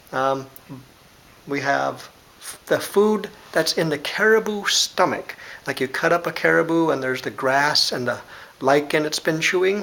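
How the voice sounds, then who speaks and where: There is noticeable background noise as a man with a fairly high pitch talks at a moderate pace, using ordinary pitch variation and long, frequent pauses. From Alaska. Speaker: language teacher. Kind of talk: tutorial. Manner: casual, hesitant with fillers.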